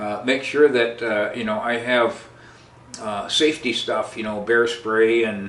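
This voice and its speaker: Over noticeable background noise and audible room echo, a man speaks at medium pitch with fairly even intonation. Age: 80s+. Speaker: podcast host, outdoorsman. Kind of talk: casual storytelling. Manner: halting, many fillers and repeats.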